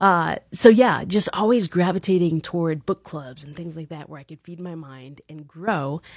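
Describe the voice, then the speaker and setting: A woman with an American accent speaks in an ordinary speaking voice at a fairly low pitch and a moderate pace, hardly pausing. Her loudness swings widely while her pitch variation stays ordinary, in a very clean recording with a silent background and a dry, close sound with no echo. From Long Island, New York, then Central Florida from age 12. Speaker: leadership coach and event organizer. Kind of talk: podcast interview.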